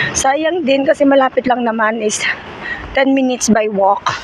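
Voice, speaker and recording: Spoken at a moderate pace, the clip carries noticeable background noise. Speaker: vlogger. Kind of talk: walking vlog. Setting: outdoors, walking in snow.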